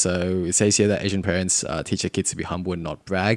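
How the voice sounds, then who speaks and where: A man with a very deep, low pitch and an Australian accent, at a fairly quick pace with monotone, flat intonation, in a dry, close sound with no echo. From Sydney, Australia. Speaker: podcast guest. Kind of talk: casual chat.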